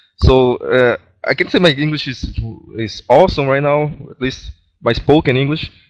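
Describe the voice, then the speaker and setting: A man with a Brazilian Portuguese accent at a moderate pace, big swings in loudness, in a dry, close sound with no echo. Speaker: gaming clan member. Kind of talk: casual group voice chat. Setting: online voice chat.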